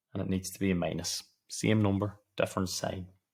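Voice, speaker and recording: A man whispers with a Donegal accent at a fairly quick pace. His voice is somewhat breathy. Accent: Donegal Irish. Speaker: maths tutor. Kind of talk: tutorial. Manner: whispering.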